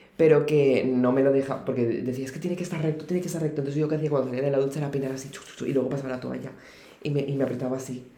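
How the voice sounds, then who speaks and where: With audible room echo, a man speaks very fast at a fairly high pitch, his intonation monotone and flat while his loudness swings widely. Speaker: podcast co-host. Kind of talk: casual chat. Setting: university room.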